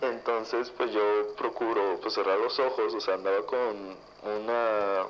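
Medium-pitched male voice, monotone and flat, very slow, with audible room echo. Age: 20s. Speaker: listener sharing paranormal story. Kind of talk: testimony.

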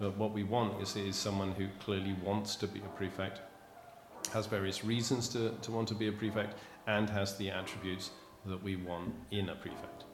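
A man's fairly low, monotone voice with flat intonation and audible room echo. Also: moderate pace. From England, Bristol. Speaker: teacher. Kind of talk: interview.

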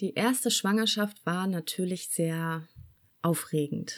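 A normal speaking voice at a fairly slow pace, with ordinary pitch variation, on a very clean recording with a silent background. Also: woman. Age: 40s. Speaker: mother telling her birth stories. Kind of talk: casual interview.

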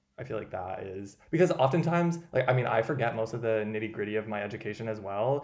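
This is an ordinary speaking voice with an American accent. The intonation is lively. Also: man. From US Midwest. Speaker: podcast host. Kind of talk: casual chat.

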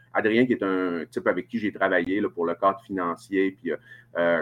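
A man speaks in a strong Saguenay-Lac-Saint-Jean accent. His pace is moderate. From Quebec, Saguenay-Lac-Saint-Jean (Chicoutimi). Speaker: family doctor. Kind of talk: casual interview. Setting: hotel room, remote video call.

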